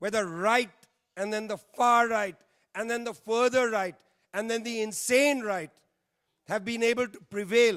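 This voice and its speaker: A man with an Indian accent, high-pitched, with fairly even intonation, a fairly slow pace and long, frequent pauses, on a very clean recording with a silent background. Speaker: panel speaker, political commentator. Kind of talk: panel speech. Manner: emphatic, repetitive.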